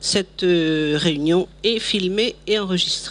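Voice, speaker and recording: Speech at a very slow pace with ordinary pitch variation over noticeable background noise. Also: woman. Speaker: meeting moderator. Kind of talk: meeting announcement. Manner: loud.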